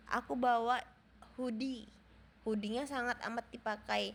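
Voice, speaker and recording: Here a woman speaks with a high pitch. Her pace is moderate. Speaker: vlogger. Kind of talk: vlog voiceover. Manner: casual.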